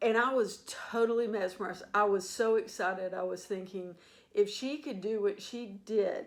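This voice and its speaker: This woman has a normal speaking voice at a medium pitch. She talks at a fairly slow pace with fairly even intonation. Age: 60s. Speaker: sports fan vlogger. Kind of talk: casual monologue.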